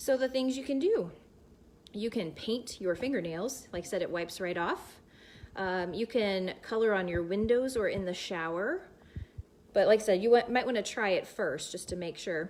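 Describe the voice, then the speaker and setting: A woman with an American accent, at a moderate pace, fairly high pitch, and lively intonation. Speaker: science teacher. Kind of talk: live science demonstration. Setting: livestream. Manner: loud; animated.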